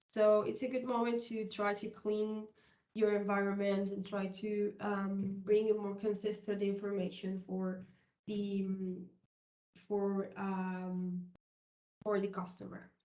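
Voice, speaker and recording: A woman speaks very slowly in a dark, mellow tone at medium pitch. Her delivery is flat and monotone, and room echo is audible. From South America. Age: 30s. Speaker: software consultant. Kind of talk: conference presentation. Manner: halting, with many fillers.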